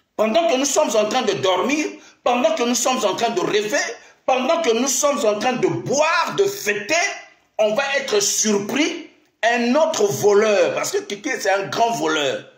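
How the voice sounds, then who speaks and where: A man speaks at a fairly slow pace with an animated tone and lively intonation, his voice carrying audible room echo over a quiet background. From Congo-Brazzaville. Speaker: pastor and diaspora live streamer; pastor, diaspora live streamer. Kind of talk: improvised political live stream monologue. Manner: animated, repetitive exhortations. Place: office. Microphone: phone near.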